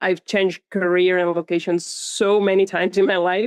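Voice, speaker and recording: A woman speaks at medium pitch with a Catalan accent, at a fairly slow pace. The sound is dry and close, with no echo. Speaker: author and content creator. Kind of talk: casual interview chat.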